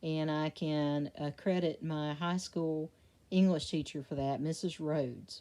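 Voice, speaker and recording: A woman talks at a fairly slow pace in a very deep, low pitch with monotone, flat intonation. Her tone is dark and mellow, in a very clean recording with a silent background. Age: 60s. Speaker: devotional reader. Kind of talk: casual reflection. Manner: hesitant, with fillers. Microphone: poor recording quality.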